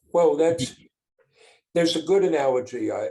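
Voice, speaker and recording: The speaker is a man. His pace is moderate. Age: 60s. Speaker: business owner and father. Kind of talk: podcast interview.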